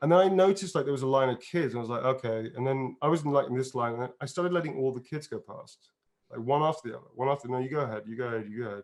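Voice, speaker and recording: This man has an English accent and a fairly high pitch. His pitch varies in an ordinary way. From England, outside London. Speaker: actor and voice performer. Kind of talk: casual interview chat. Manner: animated.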